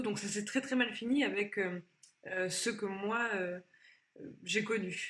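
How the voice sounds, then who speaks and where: A woman's fairly high-pitched voice comes through somewhat breathy. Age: 20s. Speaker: former employee sharing her story. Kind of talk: testimony. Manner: halting.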